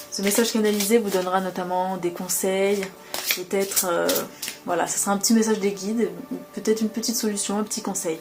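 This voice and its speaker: Over music in the background, a woman talks at a fairly quick pace in a medium pitch with monotone, flat intonation and long, frequent pauses. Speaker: tarot reader and spiritual channeler. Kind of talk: tarot reading guidance. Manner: fast.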